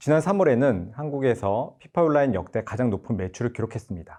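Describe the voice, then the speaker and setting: A man's dark, mellow tone with lively intonation at a fairly quick pace, against a quiet background. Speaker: game producer presenting at developer conference. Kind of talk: conference presentation. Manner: formal.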